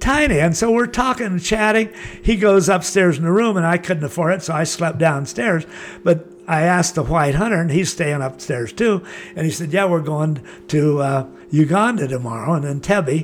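Lively in intonation, a man with a high pitch speaks at a moderate pace. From Southern California (Laguna Beach). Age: 80s+. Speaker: surfer and adventure traveler. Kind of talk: interview storytelling.

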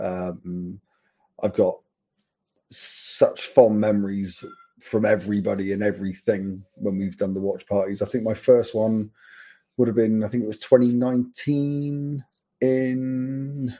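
A man's fairly low, dark, mellow voice with an English accent, very slow pace and ordinary pitch variation. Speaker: football fan. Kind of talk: casual chat. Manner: excitable.

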